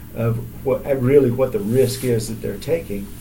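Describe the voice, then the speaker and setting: A dark, mellow, somewhat breathy voice with an American accent and audible room echo. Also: man. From Texas, south of Houston. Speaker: athletic trainer. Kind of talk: casual interview.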